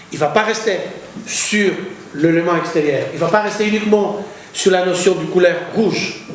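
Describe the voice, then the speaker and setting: Noticeable background noise and audible room echo fill this recording. A man with a high pitch speaks at a fairly slow pace. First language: Greek (speaking French). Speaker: poet and art critic. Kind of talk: lecture. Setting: university lecture hall. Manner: halting, repeats words.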